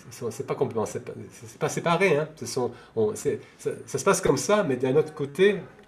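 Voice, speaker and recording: A man with a fairly high pitch talks at a moderate pace. His intonation is lively, and his loudness swings widely. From France. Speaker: devotee of a temple community. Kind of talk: interview. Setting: video call. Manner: halting, many hesitations.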